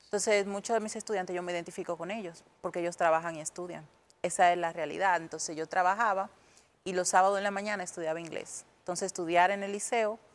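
This woman talks fairly quickly, and her intonation stays fairly even. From Dominican Republic, Puerto Plata; Dominican Republic. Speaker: English teacher; english teacher guest. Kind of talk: tutorial; interview. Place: studio. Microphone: lapel.

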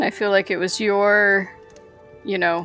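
Music plays in the background. A woman is speaking. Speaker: podcast co-host.

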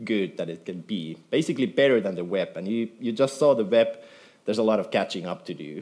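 Lively intonation from a man at a medium pitch. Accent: Finnish. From Finland. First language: Finnish. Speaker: software developer; conference speaker. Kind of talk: conference talk. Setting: stage with audience. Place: hall.

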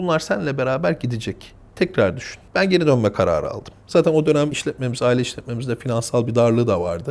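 At a very fast pace, a man talks with hardly any pauses. His pitch is medium, and his intonation lively. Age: 30s. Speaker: family business executive. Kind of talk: interview.

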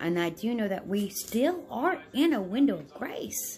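Faint music plays behind a woman with an American accent whose pitch swings very widely. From United States. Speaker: religious vlogger. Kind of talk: religious talk to camera. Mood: calm, earnest, devout. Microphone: phone near.

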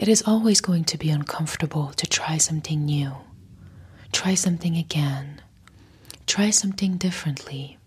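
Soft-spoken and somewhat breathy, a woman talks in a soothing tone at a very deep, low pitch with ordinary pitch variation. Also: moderate pace. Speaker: content creator. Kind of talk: soft motivational talk, ASMR-like. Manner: soft-spoken, close-mic, soothing. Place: home room. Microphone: lapel.

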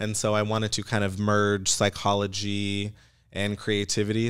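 Over a quiet background, a man with a normal speaking voice talks at a moderate pace in a fairly low pitch. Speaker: digital marketer. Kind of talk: casual chat. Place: studio. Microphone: studio mic.

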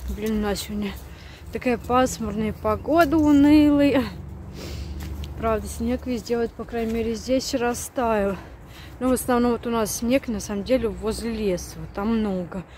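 A woman talks at a fairly slow pace with long, frequent pauses. The sound is dry with no echo, over light background noise. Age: 30s. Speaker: stay-at-home mom vlogger. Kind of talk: casual vlog talk to camera.

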